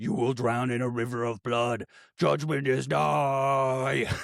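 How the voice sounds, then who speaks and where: A put-on character voice at a fairly slow pace. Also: man, medium pitch for a man. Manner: menacing.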